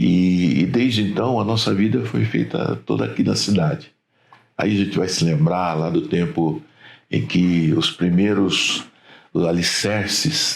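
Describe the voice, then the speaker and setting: This man's voice is very deep and low, with vocal fry. He talks at a fairly slow pace with very wide pitch swings. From Brazil, Rio Claro, São Paulo state. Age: 60s. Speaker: trade union leader. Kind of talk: interview.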